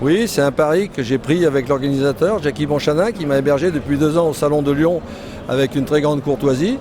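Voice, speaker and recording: A man's fairly quick speech, with ordinary pitch variation, comes through noticeable background noise. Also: fairly high pitch for a man. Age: 60s. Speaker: motorcycle club president, former racer. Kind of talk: interview. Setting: trade show stand.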